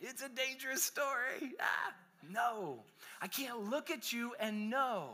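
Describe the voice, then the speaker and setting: A man speaks in a raised, projected voice with an animated tone. His tone is bright and sharp. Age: 30s. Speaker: pastor. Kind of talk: sermon.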